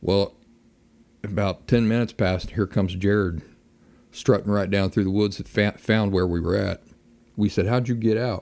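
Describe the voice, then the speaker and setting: A relaxed man with an Appalachian accent, fairly low pitch, fairly even intonation, a moderate pace and long, frequent pauses. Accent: Appalachian American. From Appalachia (US). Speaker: podcast host, outdoorsman. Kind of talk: casual monologue. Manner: relaxed, folksy.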